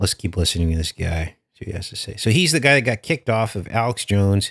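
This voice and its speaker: A man with a slight Californian accent, animated in tone and lively in intonation, in a dry, close recording with no echo and a very clean, silent background. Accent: slight California. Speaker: political commentary YouTuber. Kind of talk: casual commentary. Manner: conversational, animated.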